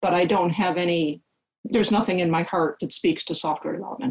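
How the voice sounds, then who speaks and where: A woman talks in a Midwestern American accent. Her pitch sits fairly low. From US Midwest. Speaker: software engineer and long-distance hiker. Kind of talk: podcast interview.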